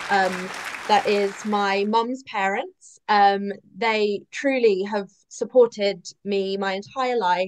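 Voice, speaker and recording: A woman with an English accent speaks at a very slow pace with fairly even intonation. Crowd noise fills the background. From England. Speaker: romance author and former chef. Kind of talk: panel interview. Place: home room. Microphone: video call.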